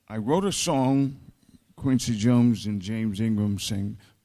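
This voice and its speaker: The speaker talks at a fairly slow pace in an American accent. The tone is dark and mellow, with ordinary pitch variation. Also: man. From US South, Mississippi (Greenville). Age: 70s. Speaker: songwriter and arranger. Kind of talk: panel discussion.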